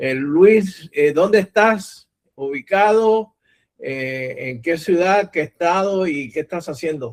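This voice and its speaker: With a Puerto Rican accent, a man talks at a very slow pace in a high voice with lively intonation, the sound dry and close with no echo. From Puerto Rico. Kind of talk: lecture.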